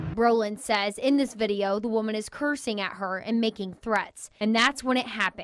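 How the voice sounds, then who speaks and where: In an American accent, a woman with an ordinary speaking voice and a fairly high pitch talks at a moderate pace, with fairly even intonation and hardly any pauses. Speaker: TV news reporter and anchor. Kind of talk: TV news package voiceover narration.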